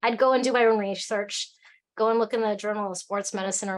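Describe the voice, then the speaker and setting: An animated woman with an Alaskan accent, fairly high in pitch, at a very fast pace. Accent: American, Alaskan. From Alaska, US. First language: Cantonese. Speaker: tea company founder. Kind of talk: casual chat.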